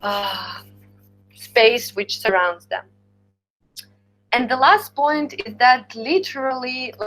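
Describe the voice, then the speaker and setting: A woman speaks with a strong Slavic accent at a high pitch and a very slow pace. She leaves long, frequent pauses, with music in the background. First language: Ukrainian. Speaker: university lecturer. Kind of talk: lecture. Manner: halting.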